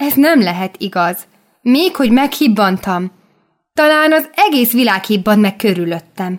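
Against a quiet background, the speaker has an unforced reading voice with lively intonation.

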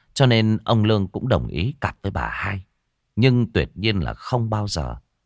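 Over a quiet background, someone does plain reading aloud, the pitch moving in an ordinary way.

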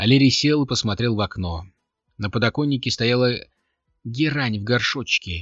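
The voice reads in an unforced way, with ordinary pitch variation. Behind it, all is quiet.

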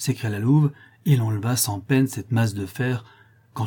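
Pitch moves in an ordinary way. The clip is reading aloud in a natural voice.

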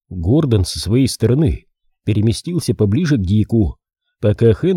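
Lively intonation runs through this plain reading aloud over a quiet background.

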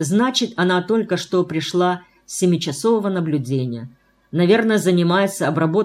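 Plain reading aloud.

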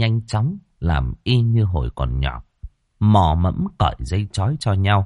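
Here is an unforced reading voice. The background is quiet.

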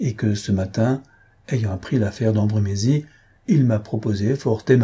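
Ordinary pitch movement in an unforced reading voice

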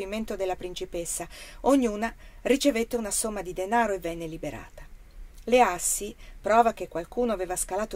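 Ordinary pitch variation, while reading aloud in a natural voice

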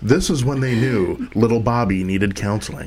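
A man's put-on character voice at medium pitch and moderate pace, over light background noise. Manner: deadpan narration.

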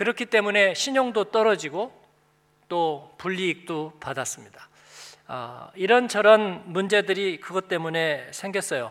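A man talks at a fairly slow pace. His voice is high-pitched with lively intonation. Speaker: pastor. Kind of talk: sermon. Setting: church.

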